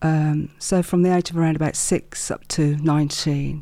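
On a very clean recording with a silent background, a woman speaks in a very deep, low pitch with a dark, mellow tone and monotone, flat intonation. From Wolverhampton, West Midlands. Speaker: business owner and mindset coach. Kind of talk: interview, personal storytelling.

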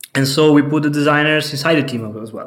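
Fairly high-pitched male speech in an Italian accent at a fairly quick pace. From Italy, Venice. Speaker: head of software engineering. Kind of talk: interview. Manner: hesitant, many fillers.

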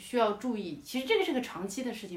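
A woman with lively intonation talks very fast amid noticeable background noise. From Yunnan, China. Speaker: stand-up comedian. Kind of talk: casual chat. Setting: remote call recording.

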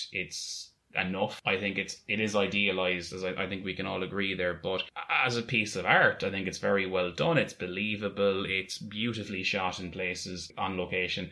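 A man with an Irish accent speaks in a very deep, low, monotone voice. Background noise is noticeable. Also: moderate pace. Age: 20s. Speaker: podcast co-host. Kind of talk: casual chat.

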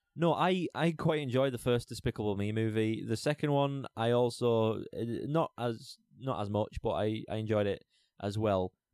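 A man with a plain, everyday voice speaks at a medium pitch and moderate pace with ordinary pitch variation. The sound is dry and close, with no echo. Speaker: podcast co-host. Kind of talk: casual chat.

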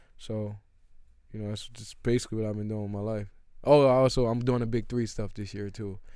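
The voice has a dark, mellow tone and a monotone, flat intonation, moving at a fairly quick pace. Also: man, fairly low pitch for a man. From US Northeast, Philadelphia. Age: 30s. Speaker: former pro basketball player. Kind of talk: casual chat.

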